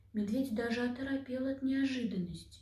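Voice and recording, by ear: A woman speaks at a fairly quick pace in a fairly high voice with a dark, mellow tone. Her pitch variation is ordinary, and the room echo is audible.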